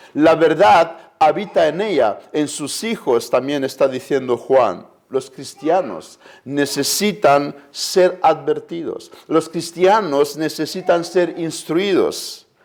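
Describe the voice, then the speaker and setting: Speaking very slowly, the man has a high-pitched voice. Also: ordinary pitch variation. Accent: Romanian. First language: Romanian (speaking Spanish). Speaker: preacher. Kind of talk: sermon.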